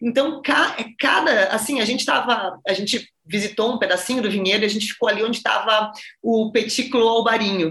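The delivery is fairly quick and animated in tone. Pitch varies in an ordinary way. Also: woman, fairly high pitch for a woman. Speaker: wine podcast host. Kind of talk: interview.

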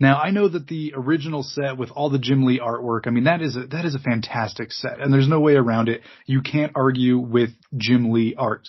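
Somewhat breathy, a man at medium pitch talks at a fairly quick pace with ordinary pitch variation. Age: 30s. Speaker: podcast host. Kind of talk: casual chat.

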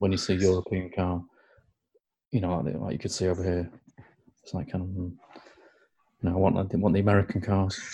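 At a fairly quick pace broken by long, frequent pauses, a man speaks in a somewhat breathy, dark, mellow tone with a very deep, low pitch and fairly even intonation. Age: 40s. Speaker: podcast co-host. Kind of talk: casual chat.

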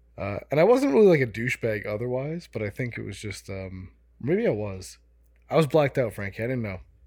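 On a very clean recording with a silent background, a man with an American accent and an unremarkable speaking voice talks at a fairly quick pace and medium pitch, with lively intonation and big swings in loudness. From US suburbs. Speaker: podcast co-host. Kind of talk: casual chat.

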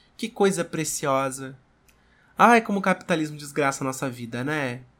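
A man at a fairly high pitch with lively intonation, at a moderate pace, on a very clean recording with a silent background. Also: long, frequent pauses. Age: 20s. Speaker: podcaster and content creator. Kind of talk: casual chat. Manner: animated.

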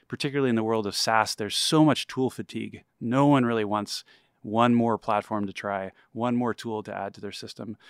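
A man with an unremarkable speaking voice talks fairly quickly, at a medium pitch, with fairly even intonation. The sound is dry and close, with no echo. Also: very clean recording, silent background. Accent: American. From Texas. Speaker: tech startup founder. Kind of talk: interview.

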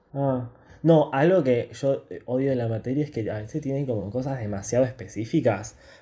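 A man talks at a moderate pace with a medium pitch and ordinary pitch variation. His tone is dark and mellow, somewhat breathy. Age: 20s. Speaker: podcast host, university student. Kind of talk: casual chat.

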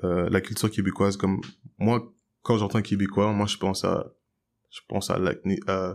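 This man's fairly low voice stays monotone and flat, broken by long, frequent pauses, on a very clean recording with a silent background. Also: moderate pace. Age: 20s. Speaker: jazz piano student and musician. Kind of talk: casual debate.

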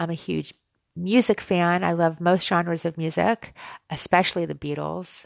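Against a quiet background, a woman speaks in a plain, everyday voice with a fairly low pitch. Her intonation is fairly even, her pace fairly slow, and the sound is dry and close with no echo. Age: 40s. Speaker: podcaster and amateur runner. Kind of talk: casual monologue.

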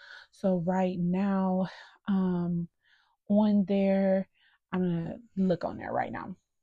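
A woman's somewhat breathy, flat monotone at a very slow pace, with long, frequent pauses and a dry, close sound without echo. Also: medium pitch for a woman. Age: 30s. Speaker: podcast host. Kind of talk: casual personal monologue.

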